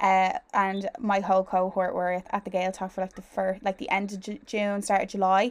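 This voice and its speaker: A woman with an Irish accent, medium pitch, monotone, flat intonation, a fairly quick pace and hardly any pauses. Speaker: podcast host and newly qualified primary teacher. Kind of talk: casual interview chat.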